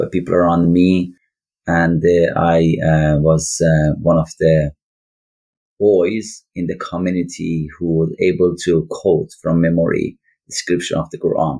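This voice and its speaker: A man with an Iranian accent speaks at a fairly slow pace in a very deep, low pitch. His intonation is monotone and flat, his tone dark and mellow. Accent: Iranian (Persian) accent in English. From northwest Iran. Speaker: ministry founder, refugee worker. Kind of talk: testimony. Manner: halting, frequent fillers.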